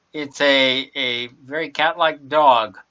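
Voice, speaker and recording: This man's voice has a bright, sharp tone. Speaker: game master. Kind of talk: game master narration in actual play.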